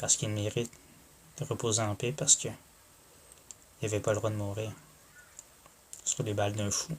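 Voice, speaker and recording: A man with a Quebec accent speaks at a moderate pace with ordinary pitch variation and long, frequent pauses. Noticeable background noise runs underneath. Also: fairly low pitch for a man. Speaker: YouTuber. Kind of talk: vlog monologue. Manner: soft-spoken; halting.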